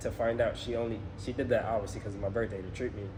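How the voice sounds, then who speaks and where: A man with an American accent talks at a very fast pace, his pitch sitting in the medium range. His delivery is monotone and flat, with noticeable background noise and audible room echo. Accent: New York accent slips out on some words. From New York (Bronx), later Atlanta. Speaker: travel vlogger, personal trainer. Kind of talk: casual chat.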